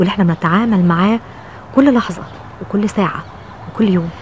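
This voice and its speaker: A woman's voice, dry with no echo, over light background noise. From Egypt. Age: 50s. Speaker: TV presenter and journalist. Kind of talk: personal reflection to camera. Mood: warm, reflective. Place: garden. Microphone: phone near.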